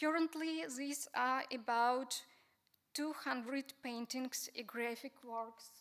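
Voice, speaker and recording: In a Ukrainian accent, a woman speaks at a very slow pace. Her pitch is high, with ordinary pitch variation. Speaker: museum researcher. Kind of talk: conference talk.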